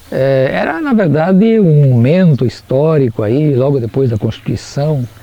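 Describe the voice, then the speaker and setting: Lively intonation from a man with a fairly high-pitched voice at a fairly slow pace, over noticeable background noise. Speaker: teacher. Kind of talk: interview testimony.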